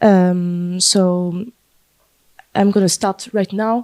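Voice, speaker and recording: A woman with a French accent speaks in a dark, mellow tone with fairly even intonation. The sound is dry and close, with no echo. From France, Paris. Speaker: panel moderator. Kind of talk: panel discussion. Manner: halting, many fillers.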